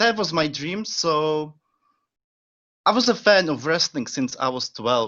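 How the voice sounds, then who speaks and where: A man with a Czech accent, at a fairly slow pace, with very wide pitch swings and long, frequent pauses. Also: fairly high pitch for a man. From Czech Republic. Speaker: pro wrestling trainee. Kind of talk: casual interview.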